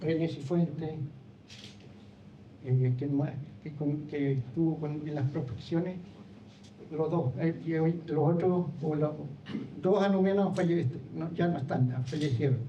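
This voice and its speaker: A man's fairly high-pitched, dark, mellow voice at a fairly slow pace, with fairly even intonation, long, frequent pauses and audible room echo. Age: 70s. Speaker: former park ranger, trail co-founder. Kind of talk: public talk. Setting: lecture hall with audience. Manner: halting.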